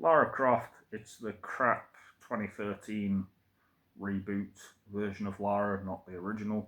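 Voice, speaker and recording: With an East Midlands accent, a man speaks at a fairly slow pace in a fairly low pitch with fairly even intonation and long, frequent pauses. His loudness swings widely, on a very clean recording with a silent background. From England, Derby. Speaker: vlogger. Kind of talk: casual monologue. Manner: hesitant, many fillers.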